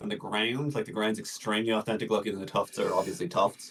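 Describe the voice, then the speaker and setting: Talking very fast, a man lets his pitch rise and fall in an ordinary way. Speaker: miniature painting reviewer. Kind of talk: video critique of hobby submissions. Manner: casual, hesitant with many fillers.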